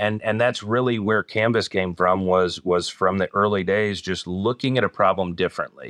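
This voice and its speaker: At a moderate pace with hardly any pauses, an ordinary speaking voice keeps very even loudness and fairly even intonation, recorded dry and close with no echo against a quiet background. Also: man, fairly low pitch for a man. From US Northeast, northern New Jersey near Newark. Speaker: company executive. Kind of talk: interview.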